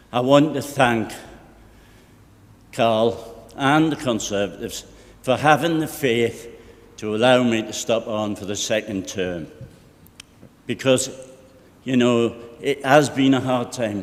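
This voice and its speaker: A man with a Geordie accent speaks at a fairly slow pace, leaving long, frequent pauses. His medium pitch has ordinary variation, and audible room echo fills the space. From North East England (Tyneside, North Shields). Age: 60s. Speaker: local councillor. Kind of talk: formal speech at council meeting.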